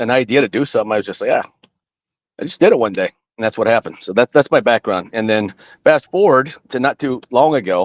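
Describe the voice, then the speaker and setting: A man with an American accent, medium pitch, a very fast pace, and a dry, close sound with no echo. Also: lively intonation. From US South. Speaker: army veteran. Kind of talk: interview. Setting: video call from home studio. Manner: halting.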